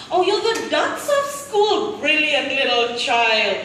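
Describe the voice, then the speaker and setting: Amid noticeable background noise, a woman talks at a fairly slow pace in a raised, projected voice. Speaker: spoken word poet. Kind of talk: spoken word poetry performance. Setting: live event.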